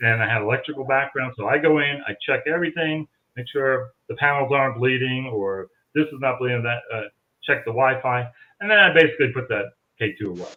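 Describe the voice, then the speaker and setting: In a plain, everyday voice, the speaker goes at a fairly quick pace with ordinary pitch variation and big swings in loudness. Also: man, medium pitch for a man. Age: 60s. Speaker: paranormal investigator. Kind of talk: casual chat.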